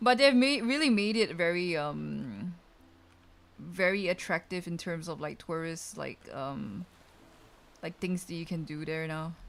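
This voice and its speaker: In a Malaysian accent, a woman with a fairly low pitch speaks at a fairly slow pace, her pitch swinging very widely, her loudness shifting in big swings, and long pauses coming often. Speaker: VTuber streamer. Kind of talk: casual chat. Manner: casual, filler-heavy.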